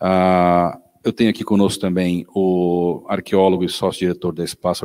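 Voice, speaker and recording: Recorded dry and close with no echo, a man's very deep, low voice carries a dark, mellow tone. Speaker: event host. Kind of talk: panel introduction.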